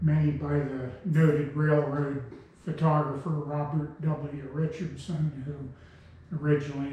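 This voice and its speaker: With noticeable background noise and audible room echo, a man speaks at a fairly slow pace in a fairly high, monotone voice with flat intonation. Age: 70s. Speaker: railroad heritage preservationist. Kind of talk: interview talk.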